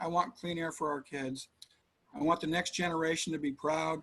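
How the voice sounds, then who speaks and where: An ordinary speaking voice at a fairly quick pace with fairly even intonation. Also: man. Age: 60s. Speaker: city council candidate. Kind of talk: interview.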